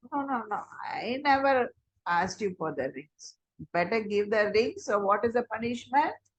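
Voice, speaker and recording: A woman talks at a very slow pace in an Indian accent. Her intonation is lively. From Chennai, India. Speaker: storyteller. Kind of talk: oral storytelling.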